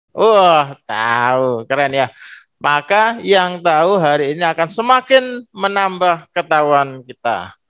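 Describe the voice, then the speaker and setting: A man's very slow, high-pitched voice with very wide pitch swings, over a quiet background. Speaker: school principal. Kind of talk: welcome speech. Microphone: video call.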